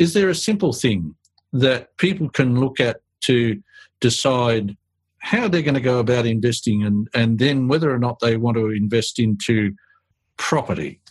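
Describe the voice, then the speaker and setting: A man speaks at medium pitch in an Australian accent. His voice is somewhat breathy, with lively intonation. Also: moderate pace, very even loudness. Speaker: podcast host. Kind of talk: interview, professional conversation.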